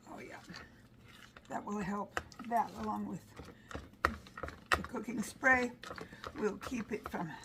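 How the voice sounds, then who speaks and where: Fairly slow words from a woman, noticeable noise behind her. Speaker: home cooking and garden vlogger. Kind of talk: cooking tutorial. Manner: sometimes mumbles, quiet; casual, chatty.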